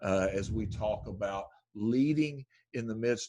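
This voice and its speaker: Recorded very cleanly against a silent background, a man speaks with an American accent and ordinary pitch variation. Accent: Southern drawl, stronger around family. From US South, rural. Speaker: podcast host, church leadership. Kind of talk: casual podcast interview. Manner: halting, many restarts.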